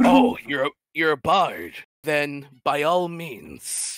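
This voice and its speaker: Someone performs a put-on character voice at a middle pitch and a very slow pace. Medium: actual play. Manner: dry, wry.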